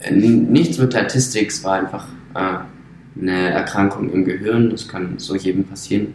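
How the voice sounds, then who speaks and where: With noticeable background noise behind him, a man speaks at a moderate pace in a very deep, low voice with ordinary pitch variation. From Brandenburg, Germany. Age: 20s. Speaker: circus artist. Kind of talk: interview.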